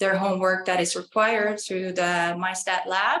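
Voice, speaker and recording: This woman talks with an Estonian accent at a medium pitch in monotone, flat intonation. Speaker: college student. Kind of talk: interview. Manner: hesitant.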